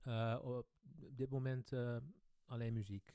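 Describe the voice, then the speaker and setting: A man with a Dutch accent speaks at a medium pitch. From Netherlands. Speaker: boogie woogie pianist. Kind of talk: live stream Q&A. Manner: hesitant, many fillers.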